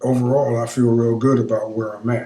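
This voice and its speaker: This man has a dark, mellow tone at a medium pitch, and his voice is somewhat breathy. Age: 60s. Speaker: vlogger. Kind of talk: casual monologue. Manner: halting.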